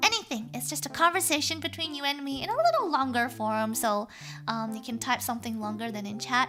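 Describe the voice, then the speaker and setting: Music plays behind the speaker. She is a woman talking at a fairly quick clip. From Australia. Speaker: vtuber streamer. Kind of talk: live stream chat reading viewer letters. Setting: live stream.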